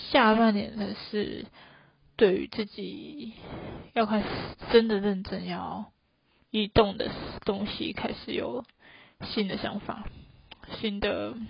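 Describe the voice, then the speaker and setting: A woman talks at a very slow pace with long, frequent pauses, her voice at a medium pitch with vocal fry. Her loudness swings widely, and her pitch variation is ordinary. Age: 20s. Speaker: solo podcast host. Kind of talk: casual monologue.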